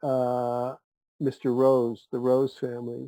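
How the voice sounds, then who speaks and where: A man's dark, mellow tone with an American accent. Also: dry, close sound with no echo. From Cleveland, Ohio, US Midwest. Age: 70s. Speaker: podcast guest. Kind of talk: casual chat. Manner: halting, with many fillers and restarts.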